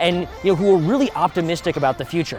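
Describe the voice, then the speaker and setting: Over music in the background, a man speaks very fast at a high pitch. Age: 20s. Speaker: political show host. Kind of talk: video presentation.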